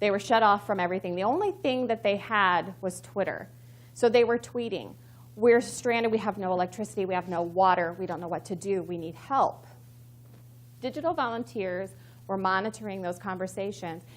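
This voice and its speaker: A woman with an American accent, medium pitch, vocal fry, lively intonation and a fairly quick pace. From Missouri. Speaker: communications professional, conference speaker. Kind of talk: conference talk. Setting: stage with audience. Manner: fast; excited.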